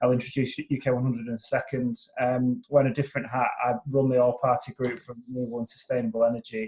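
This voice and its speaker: A man's fairly quick, somewhat breathy speech holds a fairly even intonation. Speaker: climate policy consultant. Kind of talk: webinar presentation. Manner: hesitant, many fillers and restarts.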